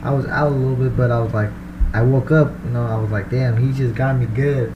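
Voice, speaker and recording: A man at a fairly quick pace with fairly even intonation, amid noticeable background noise. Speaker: pro boxer. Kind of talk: interview, casual chat. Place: studio. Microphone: studio mic.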